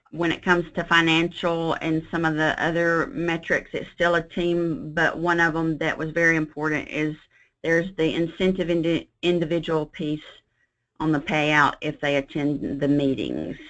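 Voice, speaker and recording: Over a quiet background, a woman with an unremarkable speaking voice talks at a moderate pace, her fairly low pitch held in fairly even intonation. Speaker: hospital quality manager. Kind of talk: webinar presentation and Q&A. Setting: online webinar.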